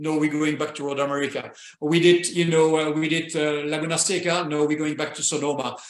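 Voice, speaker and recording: With a French accent, a man talks at a fairly quick pace and a fairly high pitch in a flat, monotone delivery, with audible room echo. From Belgium. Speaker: retired racing driver. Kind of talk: interview.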